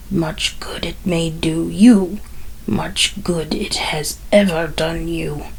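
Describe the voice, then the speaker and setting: The speaker uses a put-on character voice at a very slow pace. Clear background noise can be heard. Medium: read story. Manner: curt, contemptuous.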